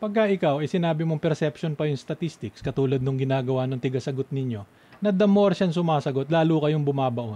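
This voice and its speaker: At a very fast pace, a man speaks in a dark, mellow tone with a fairly high pitch and ordinary pitch variation. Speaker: radio host. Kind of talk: radio panel talk show. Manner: animated.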